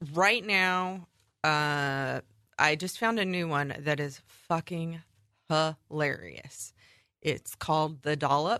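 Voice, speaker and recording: A woman with a very deep, low voice and a bright, sharp tone speaks very slowly over a quiet background. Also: ordinary pitch variation. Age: 30s. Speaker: podcast co-host. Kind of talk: casual chat.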